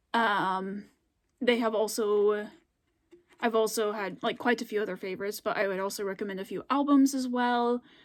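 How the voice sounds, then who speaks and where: Recorded very cleanly against a silent background, a woman with an American accent speaks at a fairly high pitch and moderate pace with fairly even intonation. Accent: regional accent, comes out more on camera. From US, Scandinavian-settled area of a state. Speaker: YouTuber. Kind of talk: casual vlog chat. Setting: filmed at home late at night. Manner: hesitant, many fillers.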